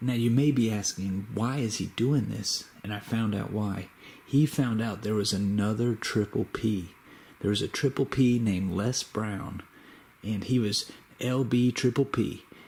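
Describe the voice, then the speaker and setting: Somewhat breathy and medium in pitch, a man talks at a fairly slow pace with fairly even intonation. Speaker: YouTuber making a shout-out video.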